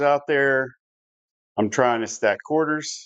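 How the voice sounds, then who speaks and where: This man speaks with an American accent at a fairly high pitch. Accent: Southern US, stronger than usual right now. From US South. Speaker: live-stream craps game host. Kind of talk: live game-play commentary. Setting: home live stream. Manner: casual, conversational.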